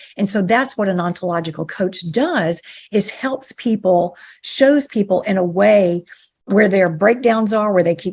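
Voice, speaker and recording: An unremarkable speaking voice from a woman, pitched in the medium range, moderately paced, with ordinary pitch variation. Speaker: ontological coach and author. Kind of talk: podcast interview.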